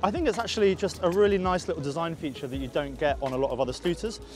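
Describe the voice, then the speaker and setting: Clear music plays behind a man speaking with ordinary pitch variation. The sound is dry, without echo. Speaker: scooter reviewer. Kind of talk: casual product review to camera. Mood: playful and jokey. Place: open country. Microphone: lapel.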